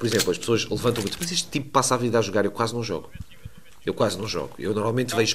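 Ordinary pitch variation marks a man's voice set at a medium pitch. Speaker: streamer and gaming coach. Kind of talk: interview. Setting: gaming fair.

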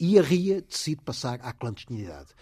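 A man with a dark, mellow, somewhat breathy tone speaks at a moderate pace while his pitch swings very widely. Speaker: investigative journalist and biographer. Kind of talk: radio interview. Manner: halting, repeats words.

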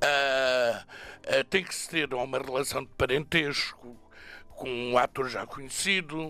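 On a very clean recording with a silent background, a man with a bright, sharp tone and medium pitch speaks very slowly, his intonation fairly even but his loudness swinging widely. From Portugal, Alentejo (Moura). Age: 70s. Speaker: drag performer. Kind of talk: radio interview. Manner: hesitant with repetitions.

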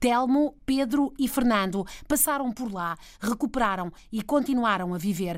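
In a very clean recording with a silent background, a woman uses a normal speaking voice with lively intonation. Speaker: radio health reporter. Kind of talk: radio report narration.

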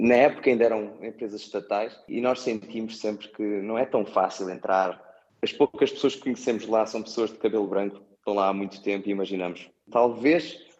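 With a fairly low pitch, this man keeps his delivery at a moderate pace. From Portugal, Setúbal. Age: 30s. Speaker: airport designer, emigrant. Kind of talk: interview. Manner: halting, many repetitions.

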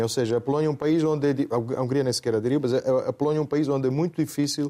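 Heard over a silent background in a very clean recording, a man with an Italian accent speaks in a dark, mellow tone. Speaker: panelist commentator. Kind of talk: panel discussion. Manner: halting, repeats words.

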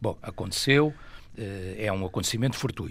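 A man talks at a moderate pace. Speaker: football pundit, club fan. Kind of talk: radio debate.

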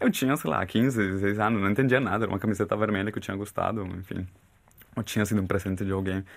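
A man's fairly low pitch at a very fast pace. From Colombia, Bogotá. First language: Spanish (speaking Portuguese). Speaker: therapist. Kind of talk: casual chat.

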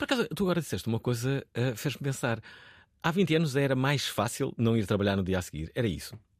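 Talking at a very fast pace, a man keeps a medium pitch while making very wide pitch swings. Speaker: radio host. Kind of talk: radio talk show. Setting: studio. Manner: animated.

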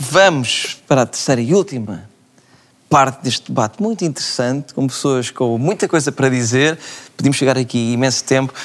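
With a European Portuguese accent, a man talks at a medium pitch and a moderate pace. His intonation is lively. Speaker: TV host. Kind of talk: studio debate. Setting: studio.

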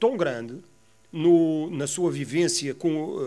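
This is a man speaking. His pace is fairly slow. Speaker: former football club director. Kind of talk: interview testimony. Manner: halting, repeats words.

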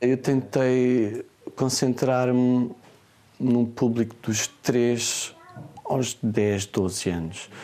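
Noticeable background noise runs throughout. The speaker's intonation is fairly even. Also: man. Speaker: online children's bookseller. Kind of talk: interview. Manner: hesitant, many fillers.

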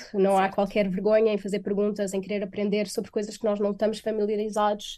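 A woman with a European Portuguese accent speaks in a dark, mellow tone. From Portugal. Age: 20s. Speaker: software developer. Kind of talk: radio interview. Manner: hesitant, many fillers.

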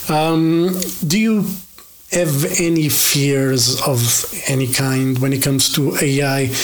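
A man speaks with a Portuguese accent, his pitch fairly high and his pitch variation ordinary. Noticeable background noise runs under the clip. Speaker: metal podcast host. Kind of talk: interview. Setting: video call.

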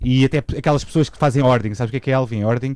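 A man's dark, mellow tone at a medium pitch, with ordinary pitch variation. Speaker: radio co-host. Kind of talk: casual chat.

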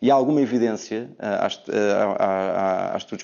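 A man talks with ordinary pitch variation. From Portugal. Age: 30s. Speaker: education specialist. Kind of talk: TV debate. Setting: remote video link. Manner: halting, with many repetitions.

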